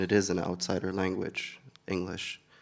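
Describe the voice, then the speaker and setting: Speaking in an Arabic accent, a man with a very deep, low voice talks at a fairly slow pace in a monotone, flat intonation. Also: very clean recording, silent background. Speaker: poet. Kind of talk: interview. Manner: hesitant, many filler words.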